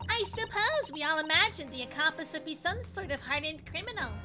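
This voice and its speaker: A woman does a put-on character voice, squeaky and extremely high-pitched, talking at a very fast pace. Music plays clearly in the background. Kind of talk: telegram-style speech. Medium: game stream. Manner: polite, halting, ends sentences with "stop" like a telegram.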